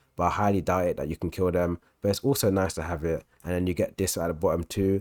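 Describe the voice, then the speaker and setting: A man speaks very fast at a very deep, low pitch, his intonation fairly even. The recording is very clean with a silent background, the sound dry and close with no echo. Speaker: game guide youtuber. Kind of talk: tutorial. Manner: halting.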